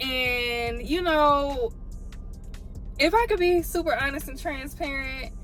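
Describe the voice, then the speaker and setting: A high-pitched woman's voice in a Southern US accent at a moderate pace, with music in the background. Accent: southern US twang. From Georgia. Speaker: YouTuber. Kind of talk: informal Southern vernacular. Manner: casual, chatty.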